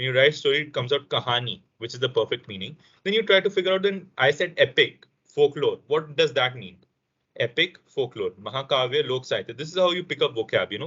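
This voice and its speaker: Using an ordinary speaking voice, a man talks at a fairly quick pace with a fairly high pitch and lively intonation. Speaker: language session instructor. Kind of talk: online language lesson. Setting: video call.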